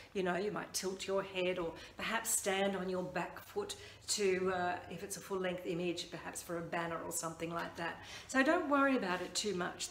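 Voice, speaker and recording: Over light background noise and audible room echo, a woman talks at a moderate pace with ordinary pitch variation. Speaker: branding coach. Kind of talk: tutorial. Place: home room. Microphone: phone near.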